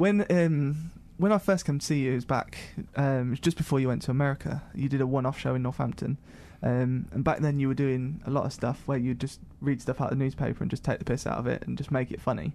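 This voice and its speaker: This man talks very fast in an English accent, his tone dark and mellow. His pitch sits in the medium range with ordinary variation. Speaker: podcast host. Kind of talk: casual chat.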